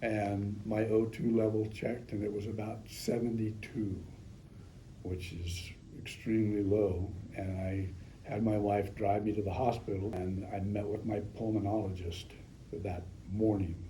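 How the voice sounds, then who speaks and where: A man's fairly low, flat, monotone voice at a fairly slow pace, with audible room echo and noticeable background noise. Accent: American. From Northern California. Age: 70s. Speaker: patient. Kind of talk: testimony. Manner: halting, frequent ums.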